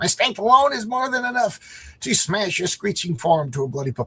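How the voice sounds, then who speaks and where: Someone uses a put-on character voice. The delivery keeps a moderate pace. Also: man, high pitch for a man. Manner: menacing, boastful.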